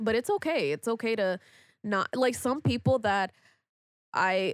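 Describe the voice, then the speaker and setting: At a fairly slow pace, a plain, everyday voice carries lively intonation in a dry, close recording with no echo. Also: woman. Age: 20s. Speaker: podcast host. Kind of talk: casual chat.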